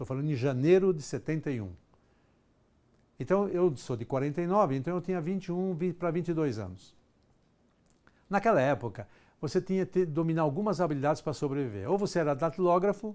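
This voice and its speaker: In a very clean recording with a silent background, a man with a fairly high voice talks at a fairly quick pace and lively intonation, broken by long, frequent pauses. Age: 60s. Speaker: executive trainer. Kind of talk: lecture.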